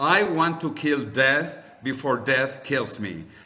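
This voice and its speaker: A man with a Spanish accent talks at a very slow pace and a fairly high pitch. Audible room echo surrounds his voice. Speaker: longevity advocate and author. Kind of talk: interview conversation. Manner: animated.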